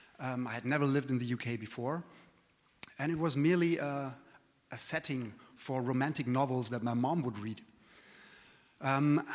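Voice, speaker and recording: A man with a non-native accent at a medium pitch, ordinary pitch variation and a moderate pace, over noticeable background noise. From continental Europe. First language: not English. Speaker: trade association executive. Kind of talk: conference presentation. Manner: hesitant, many fillers.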